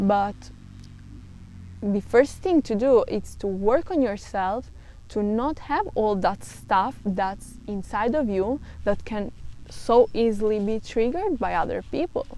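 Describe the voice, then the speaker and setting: A woman speaks with a non-native accent at a fairly slow pace. Her fairly high voice has a dark, mellow tone. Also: ordinary pitch variation. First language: not English. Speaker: self-help vlogger. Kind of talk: casual monologue. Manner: halting.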